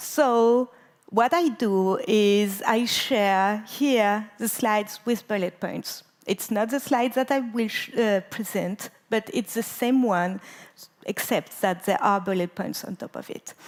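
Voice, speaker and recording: Very slow speech in a French accent moves along with ordinary pitch variation. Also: woman, fairly high pitch for a woman. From France. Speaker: conference speaker, database expert. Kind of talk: conference talk. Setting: stage with audience.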